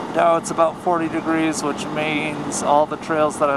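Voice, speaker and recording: Moderately paced speech from a man pitched fairly high, noticeable background noise behind it. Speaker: motorcycle vlogger. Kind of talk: casual narration while riding. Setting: outdoors on a motorcycle.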